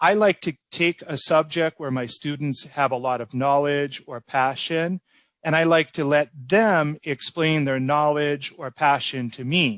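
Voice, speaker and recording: A man with a General American accent has a normal speaking voice, a fairly high pitch and ordinary pitch variation. He talks at a fairly slow pace, and the sound is dry and close with no echo. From Orlando, Florida, United States. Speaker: ESL teacher. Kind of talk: interview answer.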